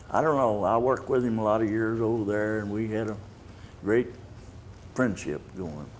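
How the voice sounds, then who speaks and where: With a Texan accent, a man speaks at a fairly low pitch, with audible room echo. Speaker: retired city official, war veteran. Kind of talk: interview. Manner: halting.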